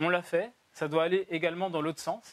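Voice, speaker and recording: Dry and close with no echo, a man's high-pitched voice moves at a fairly quick pace with fairly even intonation. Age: 20s. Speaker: think tank president. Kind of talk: televised debate.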